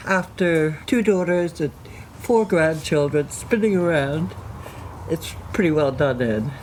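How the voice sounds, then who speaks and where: A woman with an American accent talks at a fairly slow pace, her very deep, low pitch swinging very widely. Her loudness stays very even over noticeable background noise. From United States. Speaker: former model and fashion designer. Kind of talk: casual chat.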